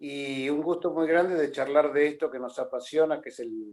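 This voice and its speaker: A man's fairly high voice at a moderate pace. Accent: Argentine. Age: 70s. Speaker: boxing journalist and author. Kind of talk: interview.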